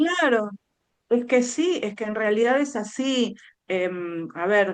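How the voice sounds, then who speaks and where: A woman speaks very slowly with a Buenos Aires accent. Her intonation is lively. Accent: Rioplatense Spanish, Buenos Aires. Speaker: speech therapist. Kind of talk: interview.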